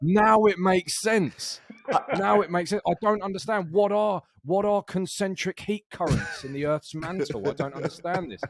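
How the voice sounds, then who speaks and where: A high-pitched man at a moderate pace, in a dry, close sound with no echo. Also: ordinary pitch variation. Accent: British. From Britain, outside London. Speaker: podcast co-host. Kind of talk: casual chat. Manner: animated.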